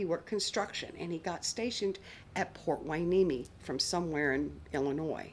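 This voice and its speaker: A normal speaking voice from a woman, fairly low in pitch, moderate in pace and ordinary in pitch variation. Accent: American. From US South, outside Atlanta, Georgia. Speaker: interviewee sharing a DNA discovery story. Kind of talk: testimony.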